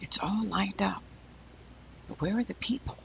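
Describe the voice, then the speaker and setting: Whispering, a man speaks at a fairly slow pace. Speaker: boat captain and fishing video narrator. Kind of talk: on-location documentary narration. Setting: outdoors on a fishing pier. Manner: hushed, talking quietly; animated.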